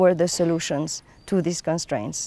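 A woman's voice with a dark, mellow tone is recorded dry, with no echo. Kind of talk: interview answer. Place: open country. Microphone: lapel.

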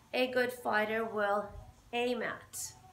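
Audible room echo surrounds a woman's voice. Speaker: boxing fitness instructor. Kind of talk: tutorial. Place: gym. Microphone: camera far.

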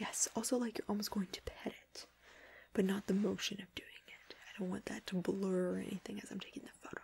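The voice is soft-spoken with a gentle tone. It moves at a fairly quick pace over light background noise. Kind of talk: directing a photo shoot. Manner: soft, gentle ASMR speaking voice. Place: home room.

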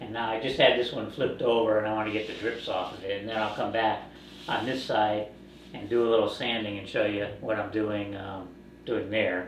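Amid light background noise and audible room echo, a man talks at a moderate pace with fairly even intonation. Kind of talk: tutorial. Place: workshop. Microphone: camera far.

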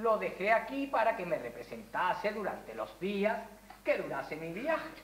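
In a room with audible echo, a woman speaks fairly slowly with lively intonation. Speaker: stage actor. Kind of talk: theatrical dialogue, projected delivery. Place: stage. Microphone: camera far.

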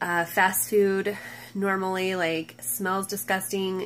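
The woman talks at a very slow pace. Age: 30s. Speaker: mom vlogger. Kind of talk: casual vlog monologue. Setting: home at night, nursing baby on lap. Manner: hesitant, many ums. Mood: relaxed, chatty. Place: home room. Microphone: phone near.

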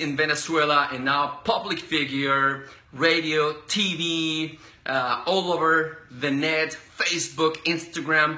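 There is audible room echo as a man speaks at a very slow pace. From Colombia. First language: Spanish. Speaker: interview host. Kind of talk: casual interview. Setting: live video stream. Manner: animated. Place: home room. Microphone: phone near.

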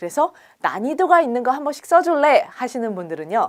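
At a moderate pace, a woman speaks in a high pitch with very wide pitch swings on a very clean recording with a silent background. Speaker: English speaking test instructor. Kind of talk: lecture.

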